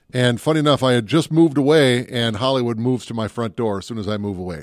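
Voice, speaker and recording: Very clean, silent-background recording of a man in a normal speaking voice, medium-pitched, fairly quick, ordinary pitch variation, dry and close with no echo. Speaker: movie podcast host. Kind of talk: casual banter podcast chat about movies. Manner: joking, playful.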